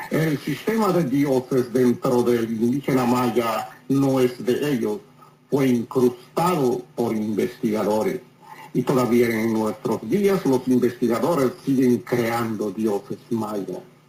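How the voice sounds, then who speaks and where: A man at a medium pitch talks at a very slow pace, with ordinary pitch variation and very even loudness. Noticeable background noise sits behind him. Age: 70s. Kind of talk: interview.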